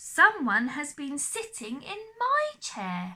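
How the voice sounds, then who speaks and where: A put-on character voice growls at a very slow pace. Its pitch swings very widely. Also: woman, high pitch for a woman. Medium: read story.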